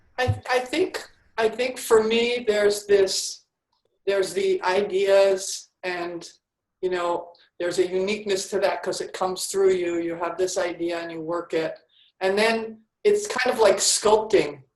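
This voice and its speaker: An ordinary speaking voice from a woman with an American accent, medium in pitch, fairly slow, with ordinary pitch variation. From New York. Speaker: podcast host, writer. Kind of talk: interview.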